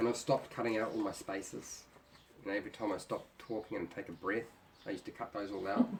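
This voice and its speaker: A man's fairly low voice at a very fast pace, fairly even in intonation, with noticeable background noise. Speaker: YouTuber and former teacher. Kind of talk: casual chat. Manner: tends to talk fast.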